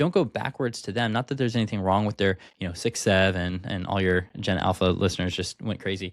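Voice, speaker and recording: A man at a fairly quick pace in a very clean recording with a silent background and a dry, close sound with no echo. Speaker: leadership speaker and consultant. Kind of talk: podcast interview. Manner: articulate.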